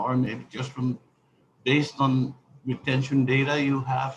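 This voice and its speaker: A man speaks with a non-native accent. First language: not English. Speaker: congressman. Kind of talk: congressional hearing questioning. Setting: virtual hearing. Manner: halting, many fillers.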